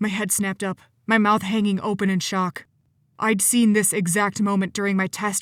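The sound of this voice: An unforced reading voice carries the text.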